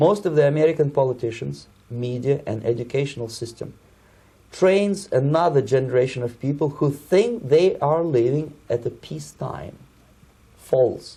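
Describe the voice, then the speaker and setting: Speaking in a Russian accent, a man with a fairly high pitch talks at a moderate pace over a quiet background. His tone is dark and mellow, somewhat breathy. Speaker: Soviet defector, former KGB operative. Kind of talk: interview answer.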